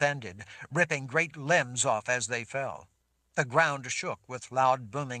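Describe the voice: The speech is plain reading aloud against a quiet background.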